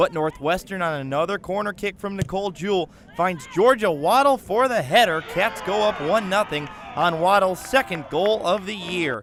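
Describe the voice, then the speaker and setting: A man speaks in a high voice at a moderate pace. His pitch varies in an ordinary way, with noticeable background noise behind him. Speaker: sports broadcaster, highlight voiceover. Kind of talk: sports highlight voiceover.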